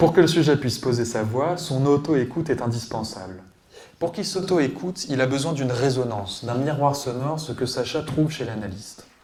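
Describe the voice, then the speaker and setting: There is noticeable background noise behind this man. He talks at a fairly quick pace with a fairly high pitch and ordinary pitch variation. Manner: pitch rising at sentence ends.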